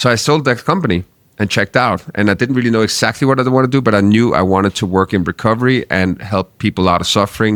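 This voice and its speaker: With a Danish accent and ordinary pitch variation, a man speaks at a fairly quick pace in a dry, close sound with no echo. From Denmark. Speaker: marketing agency founder. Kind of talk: interview. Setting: studio.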